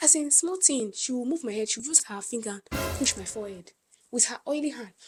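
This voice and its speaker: Over music in the background, a woman with a high pitch talks at a fairly quick pace, with lively intonation and big swings in loudness. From Nigeria, Ibadan. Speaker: vlogger. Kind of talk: storytime rant. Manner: animated.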